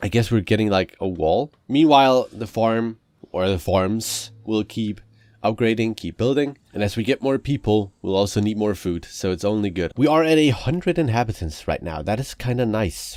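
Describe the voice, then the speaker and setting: At a moderate pace, a man speaks in a fairly low pitch with lively intonation. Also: very clean recording, silent background. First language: not English. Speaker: gaming youtuber. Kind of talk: gameplay commentary. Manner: casual, halting with repetitions.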